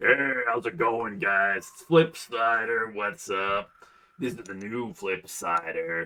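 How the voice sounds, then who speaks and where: Using a put-on character voice, a woman speaks at a fairly slow pace in a very deep, low pitch. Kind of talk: casual midday classic rock DJ. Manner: upbeat, hosting.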